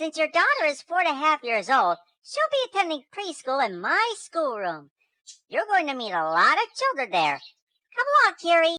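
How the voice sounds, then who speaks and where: At a moderate pace, a woman performs a put-on character voice pitched extremely high. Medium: read story.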